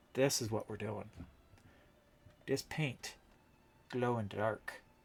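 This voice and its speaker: Somewhat breathy, a man speaks at a very slow pace with fairly even intonation. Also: medium pitch for a man. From Canada, London, Ontario. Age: 50s. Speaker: streamer and prop maker. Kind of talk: casual livestream chat while crafting.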